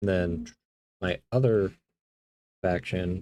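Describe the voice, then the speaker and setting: A soft-spoken man talks at a very deep, low pitch. His intonation is lively. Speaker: hobby streamer building miniatures. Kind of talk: casual chat while building models.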